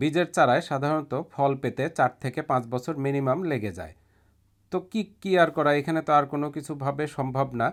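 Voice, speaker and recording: The recording is very clean, with a silent background. A man speaks in a plain, everyday voice at a fairly high pitch with ordinary variation. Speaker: gardening YouTuber. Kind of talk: video narration.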